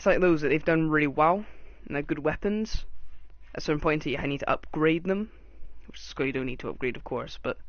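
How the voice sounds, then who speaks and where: Someone with a British accent talks at a fairly quick pace, broken by long, frequent pauses. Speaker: gaming YouTuber. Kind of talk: game review commentary. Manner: fast.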